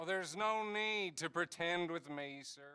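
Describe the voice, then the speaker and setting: A man speaks in a put-on character voice. It is high in pitch and moves at a moderate pace. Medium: video game. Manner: polite, insinuating.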